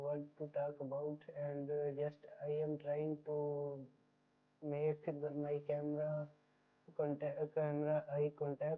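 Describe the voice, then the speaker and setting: A woman talks very slowly in a Pakistani accent, her pitch very deep and low. Her intonation stays monotone and flat. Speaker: aspiring YouTuber, vlogger. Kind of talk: casual vlog to camera. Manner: halting, repeats and self-corrects.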